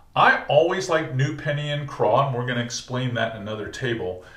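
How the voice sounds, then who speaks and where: The speech moves at a moderate pace with audible room echo. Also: man. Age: 60s. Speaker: fishing guide and instructor. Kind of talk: tutorial. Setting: tackle shop. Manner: casual, conversational.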